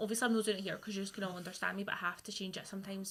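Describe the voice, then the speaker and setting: With a Scottish accent, a woman of medium pitch speaks in a monotone, flat way. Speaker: radio presenter. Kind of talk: casual chat.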